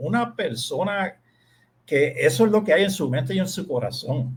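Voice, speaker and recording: A man's high-pitched voice with very wide pitch swings at a fairly slow pace. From Puerto Rico. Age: 60s. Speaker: lawyer. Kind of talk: radio interview.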